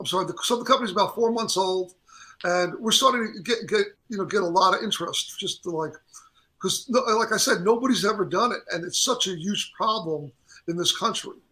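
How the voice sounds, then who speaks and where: A raised, projected voice at a fairly quick pace with ordinary pitch variation. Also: man, high pitch for a man. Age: 60s. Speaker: drink company founder and musician. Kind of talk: interview. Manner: halting, many false starts.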